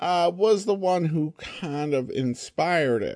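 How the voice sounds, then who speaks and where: Over a quiet background, a man with an American accent speaks at a very slow pace, his pitch swinging very widely. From Boise, Idaho. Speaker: podcast host. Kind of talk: podcast intro and commentary, casual.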